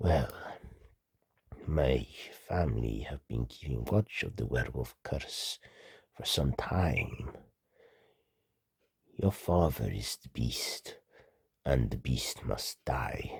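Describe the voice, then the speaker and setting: A man's put-on character voice, very deep and low in pitch, at a very slow pace with long, frequent pauses. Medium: read story.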